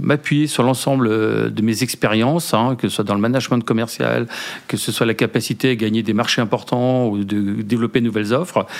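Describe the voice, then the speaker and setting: There is noticeable noise behind this man. He speaks at medium pitch and a moderate pace. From Brittany, France. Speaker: company founder. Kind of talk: interview. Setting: hotel lounge.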